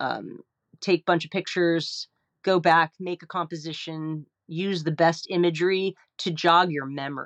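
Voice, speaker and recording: Against a quiet background, a woman with a plain, everyday voice speaks at a moderate pace with a fairly low pitch, fairly even intonation and an American accent, in dry, close sound with no echo. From New Jersey, New York metro area. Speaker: landscape painter. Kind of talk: interview.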